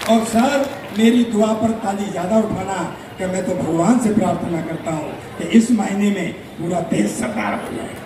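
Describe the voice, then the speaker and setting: A man talks in a high pitch with ordinary pitch variation. Noticeable background noise can be heard. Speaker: stage comedian. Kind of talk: live stand-up comedy on stage. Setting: outdoor festival stage with audience.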